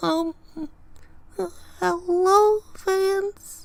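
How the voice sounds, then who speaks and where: The speaker puts on a character voice pitched extremely high. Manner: shy, timid.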